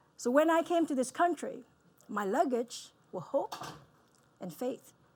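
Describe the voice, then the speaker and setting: A woman speaks at a moderate pace with a Vietnamese accent. Her intonation is lively. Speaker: dentist. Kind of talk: keynote talk. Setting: stage with audience.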